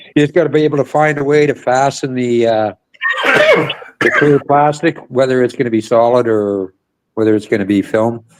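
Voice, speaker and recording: A man speaks at a moderate pace with a medium pitch, ordinary pitch variation and an unremarkable speaking voice. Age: 60s. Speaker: stream guest. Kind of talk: casual chat.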